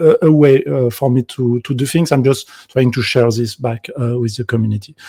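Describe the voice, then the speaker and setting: A man with a French accent speaks at medium pitch and moderate pace, his tone dark, mellow and somewhat breathy, with ordinary pitch variation and a dry, close sound with no echo. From France. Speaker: game developer. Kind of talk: conference talk. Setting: video call from home. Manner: halting.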